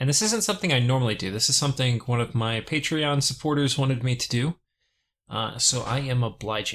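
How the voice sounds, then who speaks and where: The speech is mumbled yet has lively intonation and a fairly quick pace. The recording is very clean, with a silent background. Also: man, medium pitch for a man. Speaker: gaming video creator. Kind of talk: casual gameplay commentary. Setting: compressed audio recording. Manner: mumbling.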